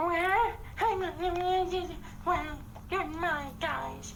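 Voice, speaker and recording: Over loud background noise, a man uses a cartoonish character voice with an extremely high pitch at a very slow pace. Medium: puppet. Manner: resigned.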